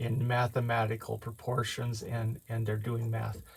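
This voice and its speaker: In a very clean recording with a silent background, a man speaks at medium pitch in a somewhat breathy voice. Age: 60s. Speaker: amateur math video maker. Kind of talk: explanatory tutorial. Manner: halting, many fillers.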